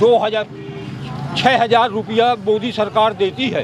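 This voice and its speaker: A man speaks with a high pitch and ordinary pitch variation. Noticeable background noise runs behind him. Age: 70s. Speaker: farmer. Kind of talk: street interview. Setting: outdoors at a tea stall. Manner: halting, repetitive.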